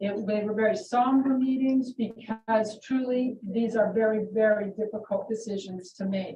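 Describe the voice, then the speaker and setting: A woman with an ordinary speaking voice, fairly high in pitch, fairly even in intonation and moderate in pace. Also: hardly any pauses. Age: 60s. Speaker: school superintendent. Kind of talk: public meeting statement.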